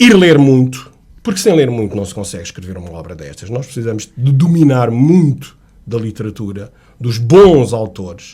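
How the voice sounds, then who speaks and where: Moderately paced and somewhat breathy, a man of medium pitch talks with very wide pitch swings. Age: 60s. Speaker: author, retired sales manager. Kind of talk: radio interview. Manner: animated storytelling.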